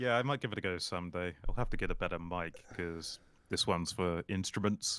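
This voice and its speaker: A man talks at a fairly quick pace with a slight RP British accent. His very deep, low voice has ordinary pitch variation, in a very clean recording with a silent background. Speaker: YouTuber. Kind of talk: casual chat.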